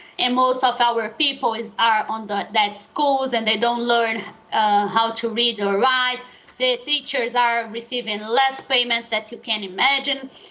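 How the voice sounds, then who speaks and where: A woman speaks at a fairly slow pace in a fairly high voice with fairly even intonation. Noticeable background noise runs underneath. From Brazil, Sao Paulo. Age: 30s. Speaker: journalist and activist. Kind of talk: interview. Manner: halting, many fillers.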